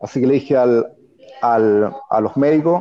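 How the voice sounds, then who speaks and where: A man speaks with lively intonation. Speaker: former footballer. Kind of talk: interview.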